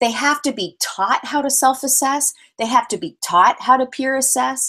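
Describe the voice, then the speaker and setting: Raised and projected, this woman's voice is bright, sharp and energetic, pitched high, with a Canadian accent. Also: ordinary pitch variation. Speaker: physical education presenter. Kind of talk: webinar presentation. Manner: fast.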